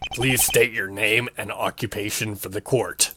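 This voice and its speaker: A put-on character voice, recorded with a dry, close sound and no echo. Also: man, medium pitch for a man, moderate pace. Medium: solo performance. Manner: cold, condescending.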